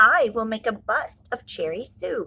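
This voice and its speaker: A woman's put-on character voice with a fairly high pitch. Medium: read story.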